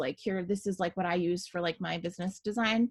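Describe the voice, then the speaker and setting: Against a quiet background, a woman speaks in a somewhat breathy voice. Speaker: small business owner teaching design software; small business owner demonstrating design. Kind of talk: screen-share tutorial. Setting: video call with screen share. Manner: casual, many fillers. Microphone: video call.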